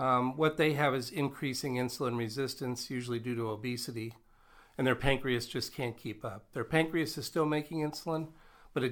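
A man's medium-pitched voice with an American accent, ordinary pitch variation and a moderate pace, on a very clean recording with a silent background. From Nebraska. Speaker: physician and medical professor. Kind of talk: interview. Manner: polished broadcaster delivery.

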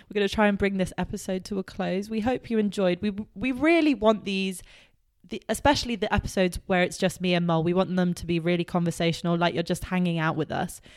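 On a very clean recording with a silent background, a woman with an English accent speaks at a very fast pace. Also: medium pitch for a woman, ordinary pitch variation. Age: 20s. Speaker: podcast co-host. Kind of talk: casual chat. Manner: animated.

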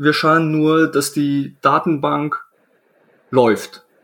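Speech comes very slowly from this man. His voice is fairly high. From Poland, then Germany from age 11. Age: 20s. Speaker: IT system engineer. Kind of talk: casual interview.

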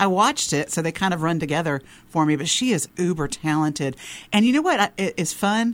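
On a very clean recording with a silent background, a woman speaks with a Southern US accent. Her voice is fairly low in pitch, fairly quick, and lively in intonation. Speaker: radio host. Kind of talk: casual interview and podcast chat.

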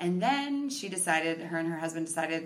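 With an Upper Midwest accent, a woman with a very deep, low pitch speaks at a fairly quick pace amid audible room echo and noticeable background noise. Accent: Upper Midwest American. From Minnesota (Victoria, near Chaska). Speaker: podcast guest. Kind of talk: casual interview.

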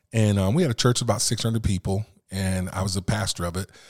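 On a very clean recording with a silent background, a man speaks at a very fast pace, somewhat breathy and fairly low in pitch. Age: 50s. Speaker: minister and chaplain. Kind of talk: casual chat.

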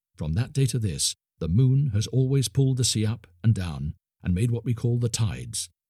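Plain reading aloud with lively intonation and a quiet background

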